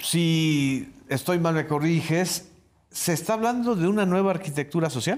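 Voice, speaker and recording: A man's high-pitched voice at a fairly slow pace, with very even loudness and ordinary pitch variation. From Yucatán, Mexico. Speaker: interviewer host. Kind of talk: formal interview. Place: studio. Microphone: lapel.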